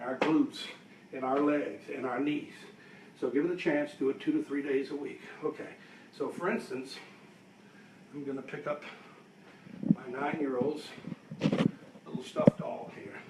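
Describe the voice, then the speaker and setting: A man with a fairly high voice speaks at a moderate pace over noticeable background noise, his loudness swinging widely and his pitch varying in an ordinary way, with long pauses coming often. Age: 60s. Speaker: fitness instructor. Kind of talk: tutorial. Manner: counting reps aloud.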